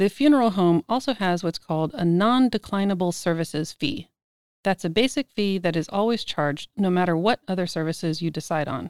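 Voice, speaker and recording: In a very clean recording with a silent background and a dry, close sound with no echo, a woman with an American accent uses a normal speaking voice at medium pitch, with lively intonation and a fairly quick pace. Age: 50s. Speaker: podcast host. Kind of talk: scripted narration.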